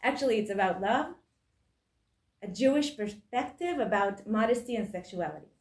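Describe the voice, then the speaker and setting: With an Israeli accent, a woman speaks in a somewhat breathy, fairly high voice at a moderate pace, her intonation lively and her long pauses frequent, amid audible room echo. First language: Hebrew. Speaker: author and book editor. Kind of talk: lecture. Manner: halting.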